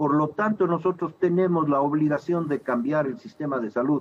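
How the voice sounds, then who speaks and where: In an ordinary speaking voice, a man with a fairly high pitch and lively intonation speaks at a moderate pace. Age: 60s. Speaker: physician and political candidate. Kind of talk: TV interview.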